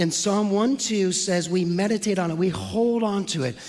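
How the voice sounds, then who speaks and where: Against noticeable background noise, a man with a high pitch speaks at a moderate pace in an animated tone with ordinary pitch variation. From San Francisco, US West Coast. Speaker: pastor. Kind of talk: sermon. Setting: church.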